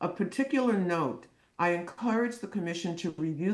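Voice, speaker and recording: A woman speaks at a moderate pace with ordinary pitch variation, her pitch fairly low. It is an unremarkable speaking voice. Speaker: clinical psychologist. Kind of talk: testimony.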